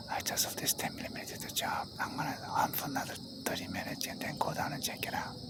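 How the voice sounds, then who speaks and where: A man whispers at a very fast pace. Noticeable background noise and audible room echo are present. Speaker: hunter. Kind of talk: field commentary vlog.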